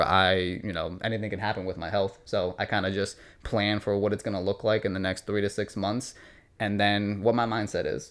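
A man's fairly low voice with an American accent and fairly even intonation, a normal speaking voice in a very clean recording with a silent background. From New York and New Jersey. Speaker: fitness trainer, gym owner. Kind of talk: casual interview.

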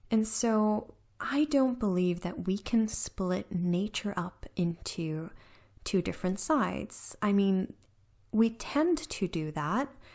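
With a somewhat breathy voice, this woman talks using lively intonation. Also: very clean recording, silent background. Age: 30s. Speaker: podcast host. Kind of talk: personal monologue.

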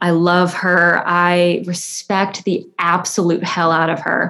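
A fairly low-pitched woman's voice in an American accent, at a very slow pace. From US South, north Alabama. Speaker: photographer and art history student. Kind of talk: casual interview.

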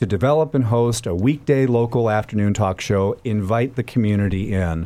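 A man with an American accent speaks at a medium pitch in a dark, mellow tone. The recording is very clean, with a silent background. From Minnesota, US Midwest. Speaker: public radio host. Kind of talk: interview.

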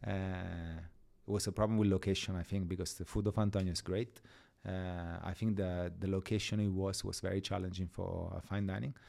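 A man with an Italian accent talks at a fairly quick pace in a very deep, low, dark and mellow voice with monotone, flat intonation. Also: very clean recording, silent background. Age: 40s. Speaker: executive chef. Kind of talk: podcast interview. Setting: studio. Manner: hesitant, many filler uhs.

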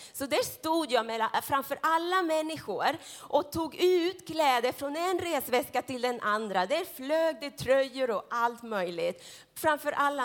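At a fairly slow pace, a woman speaks in a high pitch with lively intonation and an animated tone. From Central America. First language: Spanish (speaking Swedish). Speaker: preacher. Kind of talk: sermon. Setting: church. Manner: consciously slow.

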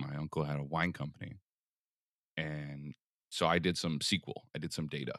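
Talking at a fairly quick pace yet with long, frequent pauses, a man with an American accent uses fairly even intonation at a very deep, low pitch, the sound dry and close with no echo. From US Northeast, Philadelphia. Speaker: collector and entrepreneur. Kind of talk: interview.

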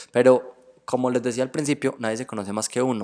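This man's voice sits at a medium pitch. His tone is animated. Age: 20s. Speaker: tarot reader and spiritual therapist. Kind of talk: casual interview chat.

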